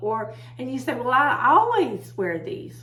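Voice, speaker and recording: A woman speaks with an American accent at a moderate pace. Room echo is audible. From Texas. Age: 60s. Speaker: herbalist video host. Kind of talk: casual talk to camera. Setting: home office. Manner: loud.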